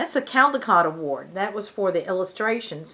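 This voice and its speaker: An unremarkable speaking voice with lively intonation at a fairly quick pace. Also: woman. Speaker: grandmother reading picture books to children online. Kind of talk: children's picture book read-aloud. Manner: casual, friendly, chatty.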